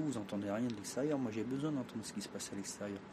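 A man speaks at a very fast pace. Audible room echo and noticeable background noise are present. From France, Traveller community. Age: 50s. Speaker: fortune teller. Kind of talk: interview.

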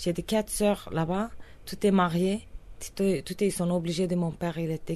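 Speaking with a Kurdish accent, a woman uses a fairly low pitch, a dark, mellow tone and fairly even intonation. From Turkish Kurdistan. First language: Kurdish (speaking French). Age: 30s. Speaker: singer. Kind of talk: interview testimony. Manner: halting non-native French.

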